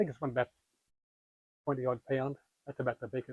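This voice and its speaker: A man speaks in an Australian accent with a fairly high pitch and a dark, mellow tone. The sound is dry and close with no echo. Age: 80s+. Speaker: fishing lure maker. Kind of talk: interview answer.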